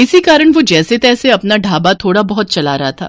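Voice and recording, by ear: A woman's medium-pitched voice with big pitch swings at a moderate pace, in a very clean recording with a silent background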